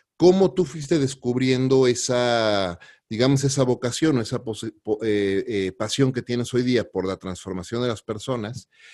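Against a quiet background, a man with a plain, everyday voice speaks fairly slowly at medium pitch with ordinary pitch variation. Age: 40s. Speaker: podcast host. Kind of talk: interview.

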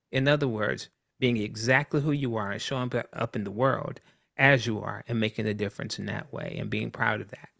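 Dry and close with no echo, a man's voice has a bright, sharp tone and some vocal fry. He speaks with an American accent at a fairly quick pace and a medium pitch, with ordinary pitch variation. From US South, Columbia, South Carolina. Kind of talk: casual interview.

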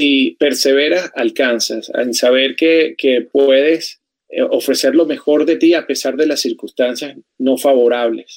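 A man in a Venezuelan accent speaks at a fairly slow pace with fairly even intonation and very even loudness, in a dry, close sound with no echo. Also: fairly high pitch for a man. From Venezuela, Caracas. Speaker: journalist and TV presenter. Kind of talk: interview testimony.

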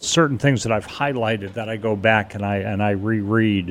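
Intonation remains fairly even. The speaker keeps a moderate pace. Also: man. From New York City area. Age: 60s. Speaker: 9/11 survivor, guest. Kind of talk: casual interview chat.

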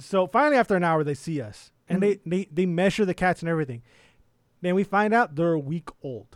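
A man with a high pitch talks at a very fast pace in an animated tone with lively intonation, the sound dry and close with no echo. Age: 30s. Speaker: podcast co-host and accountant. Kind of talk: casual chat.

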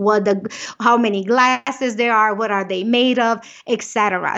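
Fairly high in pitch, a woman speaks in an animated tone. Her pace is moderate. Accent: slight Romanian. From Romania. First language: Romanian. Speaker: business owner and keynote speaker. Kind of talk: interview.

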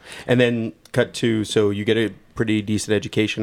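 Recorded very cleanly against a silent background, a man speaks with an unremarkable speaking voice at a fairly low pitch. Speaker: podcast co-host. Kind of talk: casual interview chat. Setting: studio.

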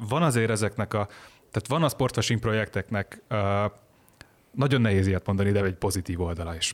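On a very clean recording with a silent background, a man with a fairly low pitch speaks at a very fast pace, with very even loudness and ordinary pitch variation. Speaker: online journalist. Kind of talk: casual chat.

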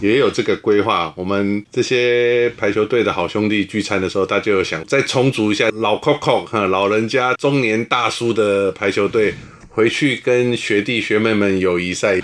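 This man has an ordinary speaking voice, fairly low in pitch with ordinary variation. He talks at a moderate pace with hardly any pauses. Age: 50s. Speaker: former naval academy volleyball player. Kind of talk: interview.

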